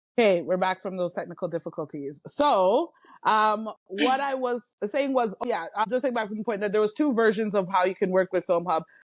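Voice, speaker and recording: Against a quiet background, a woman at medium pitch speaks at a fairly quick pace with lively intonation and hardly any pauses. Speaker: podcast co-host. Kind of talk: casual chat. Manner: fast; clipped, unfinished words.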